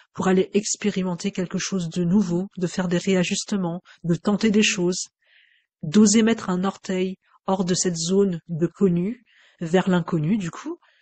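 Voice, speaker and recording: Her pace is fairly slow. The woman's voice has a somewhat breathy quality. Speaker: Gestalt psychotherapist. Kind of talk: unscripted personal reflection. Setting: home microphone recording. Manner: hesitant, many fillers.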